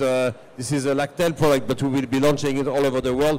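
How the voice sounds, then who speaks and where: A man with a French accent, fairly high pitch and very fast pace. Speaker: food company communications director. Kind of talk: panel discussion. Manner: halting.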